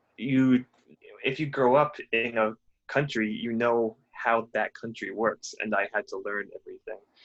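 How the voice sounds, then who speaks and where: A man talking fairly slowly in an American accent against a quiet background. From United States. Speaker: guest speaker at a language school. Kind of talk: casual conversation with language students. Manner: halting, many fillers.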